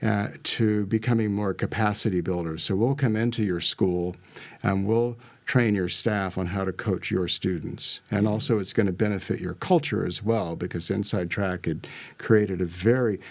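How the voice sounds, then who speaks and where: With a normal speaking voice, this man keeps a fairly low pitch, a moderate pace and fairly even intonation. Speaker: life and business coach. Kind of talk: interview.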